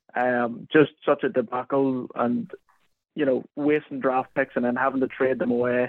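In a Northern Irish accent, a man speaks at a medium pitch and moderate pace with fairly even intonation. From Northern Ireland, County Armagh. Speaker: NFL content writer. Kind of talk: casual chat. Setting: phone call.

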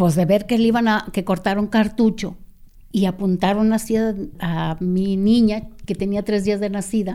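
Her tone dark and mellow, a woman of medium pitch speaks at a moderate pace with ordinary pitch variation. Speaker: activist's sister. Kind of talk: interview testimony.

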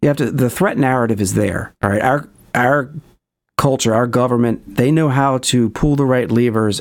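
A man with an ordinary speaking voice talks at a moderate pace in a medium pitch with fairly even intonation, on a very clean recording with a silent background. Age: 50s. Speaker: documentary filmmaker and paranormal experiencer. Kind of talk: interview.

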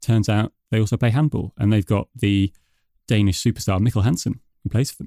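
A man with a British accent talks at a very fast pace in a dark, mellow tone, his fairly low pitch showing ordinary variation, with a dry, close sound and no echo. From UK. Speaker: podcast host. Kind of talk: podcast discussion.

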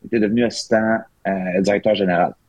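Fairly even in intonation, a man with a fairly low voice speaks at a moderate pace. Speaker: hockey assistant coach. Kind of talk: casual chat.

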